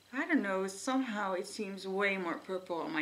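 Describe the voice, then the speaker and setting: With ordinary pitch variation, a woman talks amid audible room echo. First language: not English. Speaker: beauty vlogger. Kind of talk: casual chat. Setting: at home.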